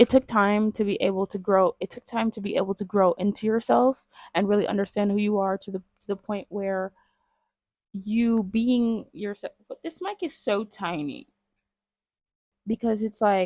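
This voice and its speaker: At a moderate pace, a woman with a medium pitch and fairly even intonation speaks with big swings in loudness, in a dry, close sound with no echo. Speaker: vlogger. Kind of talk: casual talk to camera.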